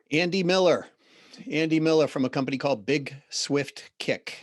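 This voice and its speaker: This is a man speaking. He has a Boston accent. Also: quiet background. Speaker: business consultant and CEO. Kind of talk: podcast interview.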